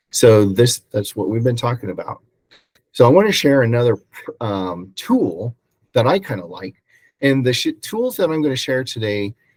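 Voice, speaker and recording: A man with an American accent speaks at a moderate pace and medium pitch in an ordinary speaking voice. The sound is dry and close, with no echo. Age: 60s. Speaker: real estate agent and mentor. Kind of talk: presentation. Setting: video call.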